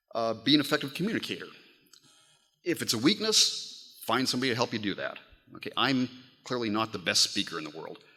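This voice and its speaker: A man speaks very fast at a medium pitch, his voice bright and sharp with vocal fry. His pitch swings very widely, broken by long, frequent pauses. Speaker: advocacy speaker giving advice. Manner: hesitant, many fillers.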